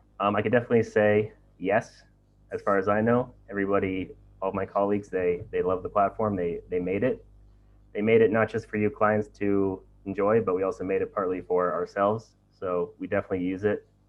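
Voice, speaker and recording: A man with an American accent, fairly low in pitch, at a fairly quick pace with monotone, flat intonation. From USA. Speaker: webinar moderator. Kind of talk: live Q&A webinar.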